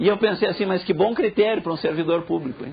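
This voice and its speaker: Fairly quick and animated, a man talks in a southern Brazilian accent. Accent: gaúcho. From southern Brazil (Rio Grande do Sul). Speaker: professor. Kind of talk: lecture.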